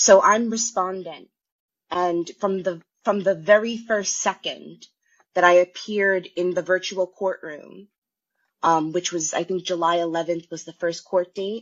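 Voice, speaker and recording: A woman talks at a fairly slow pace in a normal speaking voice. Her loudness swings widely. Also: medium pitch for a woman. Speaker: caller. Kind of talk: casual chat. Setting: phone call.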